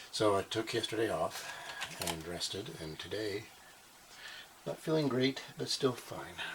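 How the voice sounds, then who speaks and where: The voice is soft-spoken, with long, frequent pauses. Noticeable background noise sits behind it. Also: fairly slow pace. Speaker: maker channel host. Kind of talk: tutorial.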